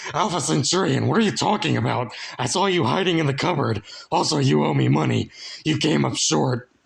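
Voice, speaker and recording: Using a put-on character voice, a man sounds raspy at a medium pitch, keeping a fairly quick pace and very even loudness. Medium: read story. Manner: loud, crude.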